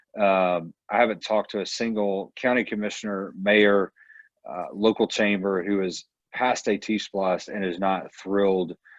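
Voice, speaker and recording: With a Georgia accent, a man talks at a moderate pace in a fairly low pitch and a monotone, flat intonation, recorded with a dry, close sound with no echo over a quiet background. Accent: US Southern (Georgia). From Northwest Georgia. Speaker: transportation advocate. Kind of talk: town hall Q&A.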